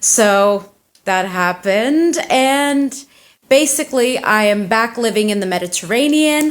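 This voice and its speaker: A woman's ordinary speaking voice with an American accent, fairly high pitch, lively intonation and a fairly slow pace. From United States (Turkish family). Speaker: indie fantasy author and tattoo artist. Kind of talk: casual interview. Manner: casual, chatty.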